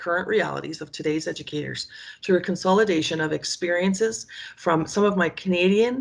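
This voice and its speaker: A woman speaks at a fairly quick pace with a fairly low pitch. Her voice has vocal fry and lively intonation. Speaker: education professor. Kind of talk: conference presentation. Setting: video recording on laptop. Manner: fast; animated.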